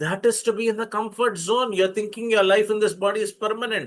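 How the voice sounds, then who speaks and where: With an Indian accent, a man is talking. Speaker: spiritual teacher. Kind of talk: lecture. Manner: halting.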